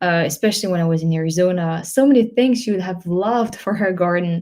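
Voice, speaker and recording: Somewhat breathy and dark, mellow in tone, a woman speaks at a fairly low pitch with ordinary pitch variation on a very clean recording with a silent background. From France. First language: French. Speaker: travel vlogger. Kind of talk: live stream Q&A. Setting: live stream. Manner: hesitant, many fillers.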